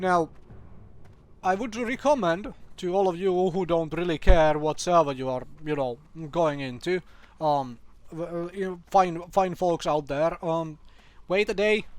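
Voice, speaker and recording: With a non-native accent, a man speaks at a high pitch with ordinary pitch variation. He takes long, frequent pauses. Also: fairly slow pace. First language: not English. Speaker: gaming youtuber. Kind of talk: casual commentary video. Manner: hesitant, many fillers.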